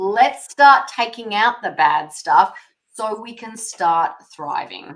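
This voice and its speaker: A woman with a fairly high pitch speaks at a very slow pace, her intonation lively and her loudness swinging widely. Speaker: holistic nutrition practitioner. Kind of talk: podcast interview.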